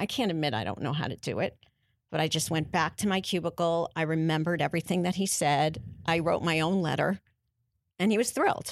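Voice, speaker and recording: A woman with a New York accent speaks at a fairly quick pace, her fairly low pitch showing ordinary variation, on a very clean recording with a silent background. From New York, Brooklyn (Canarsie). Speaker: casting director. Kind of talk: interview.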